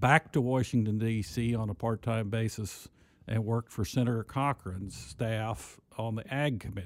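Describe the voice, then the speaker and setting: With an American accent, an ordinary speaking voice moves at a fairly slow pace with ordinary pitch variation, in a dry, close sound with no echo on a very clean recording with a silent background. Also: man. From southern Missouri (Mountain Grove, Ozarks). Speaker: university agriculture administrator. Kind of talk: podcast interview. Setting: studio.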